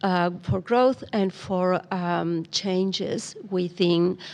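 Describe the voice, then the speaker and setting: The woman's pitch is in the middle range. She talks with a non-native accent. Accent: foreign accent, noticeable. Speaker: migrant employment program coordinator. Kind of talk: podcast interview. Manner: hesitant, many fillers.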